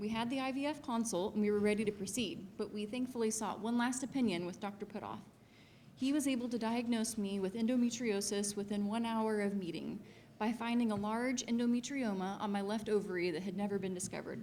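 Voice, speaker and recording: An American-accented woman speaks at a very fast pace, with a fairly high pitch and fairly even intonation. Audible room echo surrounds her voice. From Missouri, US Midwest. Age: 30s. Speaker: patient. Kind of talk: testimony.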